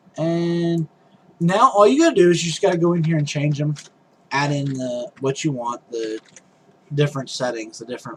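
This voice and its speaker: There is noticeable background noise behind a man talking at a moderate pace. His pitch is fairly high, with ordinary variation. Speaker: game development tutorial maker. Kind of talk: tutorial. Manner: stumbling over words.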